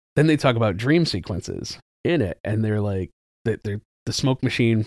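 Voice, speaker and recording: The voice is an unremarkable speaking voice at a moderate pace. The sound is dry and close with no echo. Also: man. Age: 40s. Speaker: movie theater manager. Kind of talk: casual chat. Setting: studio.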